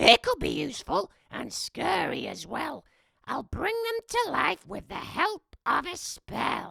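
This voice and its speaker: A put-on character voice sits high in pitch, raspy and shrill. It moves at a fairly slow pace. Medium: read story. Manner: snappish, commanding.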